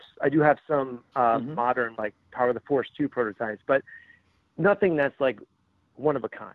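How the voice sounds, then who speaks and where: At a moderate pace and medium pitch, a man talks in a normal speaking voice with ordinary pitch variation. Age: 40s. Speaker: toy collector and social media contributor. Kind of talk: interview.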